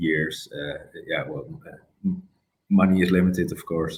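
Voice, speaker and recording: The man's pitch is very deep and low. He speaks at a moderate pace. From Netherlands, North Brabant. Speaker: Batman collector. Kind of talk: interview. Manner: halting, many fillers.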